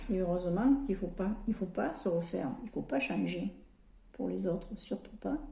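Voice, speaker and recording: A woman's dark, mellow tone with vocal fry at a moderate pace. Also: medium pitch for a woman, lively intonation. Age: 60s. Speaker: lifestyle vlogger. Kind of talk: makeup tutorial chat. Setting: home, sunlight through skylight. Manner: casual, hesitant with repetitions.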